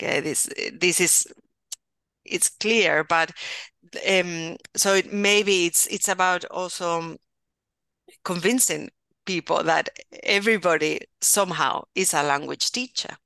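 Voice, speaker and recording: A woman with a bright, sharp tone and a Spanish accent, ordinary pitch variation, and long, frequent pauses. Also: medium pitch for a woman, fairly slow pace, dry, close sound with no echo, quiet background. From Spain, Valencia region. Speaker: university professor, bilingual education. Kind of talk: interview conversation.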